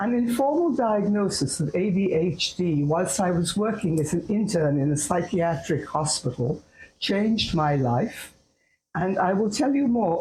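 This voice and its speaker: A woman with a dark, mellow tone speaks fairly slowly in a fairly low pitch, somewhat breathy, her loudness very even and her intonation lively. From India, Calcutta. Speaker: psychologist. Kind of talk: talk to camera. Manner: formal.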